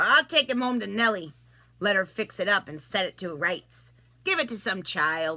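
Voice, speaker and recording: A put-on character voice from a woman at medium pitch and a moderate pace. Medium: read story. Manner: offhand.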